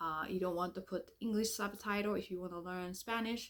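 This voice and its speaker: With a Japanese accent, a woman speaks at a medium pitch and with fairly even intonation. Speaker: language teacher. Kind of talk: sales pitch. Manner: halting.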